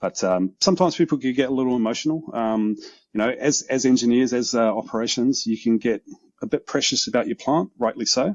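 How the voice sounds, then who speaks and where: Speaking at a very fast pace, a man talks with a New Zealand accent. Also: medium pitch for a man, ordinary pitch variation. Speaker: OT security consultant. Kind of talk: casual interview conversation. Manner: hesitant, many ums.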